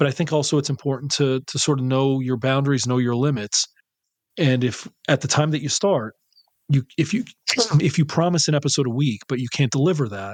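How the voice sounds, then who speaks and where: Delivered at a fairly quick pace, the voice shows ordinary pitch variation in a dry, close sound with no echo. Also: man, fairly high pitch for a man. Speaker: horror podcast host. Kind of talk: casual chat.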